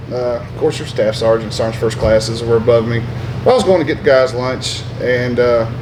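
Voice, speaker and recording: Medium-pitched male voice with an American accent, with audible room echo and noticeable background noise. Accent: Southern drawl, lighter than before. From US South, upstate South Carolina. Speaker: army veteran. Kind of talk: interview. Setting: brewery. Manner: loud, energetic.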